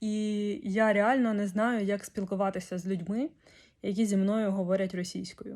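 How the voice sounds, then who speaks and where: This woman's voice sits at a medium pitch and has a dark, mellow tone, captured in a very clean recording against a silent background. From Ukraine, Kyiv. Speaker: vlogger. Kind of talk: video diary.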